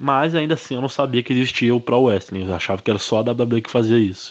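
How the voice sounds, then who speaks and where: Ordinary pitch variation runs through a man's moderately paced speech. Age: 20s. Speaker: professional wrestler. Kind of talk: interview monologue. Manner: casual, conversational.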